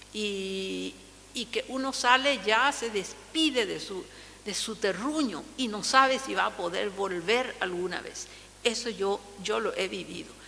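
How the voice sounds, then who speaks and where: A woman with a Paraguayan accent speaks fairly slowly at a fairly high pitch, with audible room echo and noticeable background noise. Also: ordinary pitch variation. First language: Guarani (speaking Spanish). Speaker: linguist. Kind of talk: lecture. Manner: halting.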